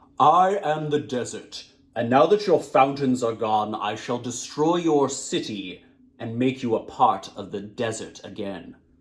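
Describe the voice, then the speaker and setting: A man's booming, put-on character voice at medium pitch, with lively intonation and a moderate pace. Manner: menacing, threatening.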